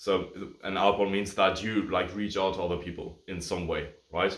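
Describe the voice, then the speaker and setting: There is audible room echo around this speaker. He is a man with a fairly low pitch. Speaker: agency coach and YouTuber. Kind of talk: tutorial. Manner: casual, filler-heavy.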